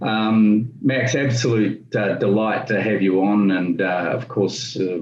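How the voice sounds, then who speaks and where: Recorded with audible room echo, a man talks in a New Zealand accent with fairly even intonation. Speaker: business interview host. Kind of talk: interview. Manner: hesitant, many fillers.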